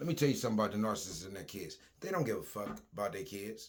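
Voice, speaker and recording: His voice carries vocal fry. This man's pitch swings very widely. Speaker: social media commentator. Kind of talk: casual vlog rant. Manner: animated.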